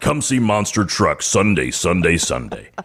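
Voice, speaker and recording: Fairly low in pitch and at a moderate speed, a put-on character voice from a man. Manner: booming, hyped.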